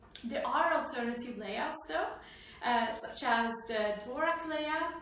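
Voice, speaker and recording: The speaker talks at a fairly slow pace with lively intonation, in a room with audible echo and noticeable background noise. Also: woman. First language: not English. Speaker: software developer vlogger. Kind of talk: tech explainer vlog.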